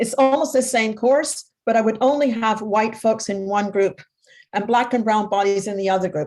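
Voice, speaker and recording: A woman with a Canadian accent uses a plain, everyday voice at a fairly high pitch, with ordinary pitch variation and a moderate pace. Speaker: psychotherapist and workshop facilitator. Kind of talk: panel discussion.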